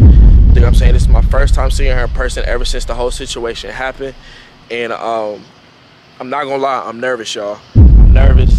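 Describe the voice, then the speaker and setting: Loud background noise surrounds a man speaking at a fairly quick pace, recorded dry with no echo. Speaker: vlogger. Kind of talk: casual vlog chat. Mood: nervous but upbeat. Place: street. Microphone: phone near.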